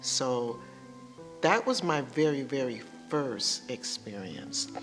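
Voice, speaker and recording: Music plays in the background as a woman speaks with a Louisiana accent. Her pace is very slow. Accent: Southern US (Louisiana). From Shreveport, Louisiana, USA. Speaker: retired educator. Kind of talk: interview answer.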